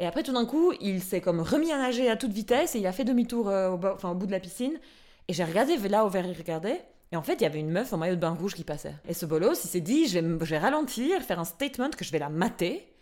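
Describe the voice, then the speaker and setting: A woman speaks at a very fast pace with very wide pitch swings. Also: medium pitch for a woman, very clean recording, silent background. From Albania. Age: 30s. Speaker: podcast host. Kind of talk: casual chat. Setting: studio.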